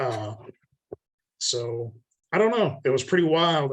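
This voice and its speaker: A somewhat breathy quality marks this man's voice. He speaks at a moderate pace. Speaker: horror fiction writer. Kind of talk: casual chat. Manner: monotone.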